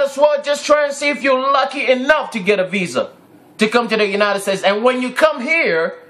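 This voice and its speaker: A man with a Ghanaian accent speaks in an extremely high pitch, his voice raised and projected and his tone animated. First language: Twi. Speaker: vlogger. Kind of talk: video rant.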